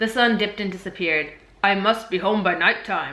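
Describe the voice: A plain reading aloud keeps its intonation fairly even.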